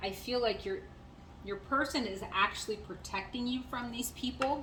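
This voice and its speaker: A woman's fairly high voice comes through with audible room echo. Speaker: tarot reader. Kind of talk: channeled tarot reading. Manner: fast; hesitant with many fillers.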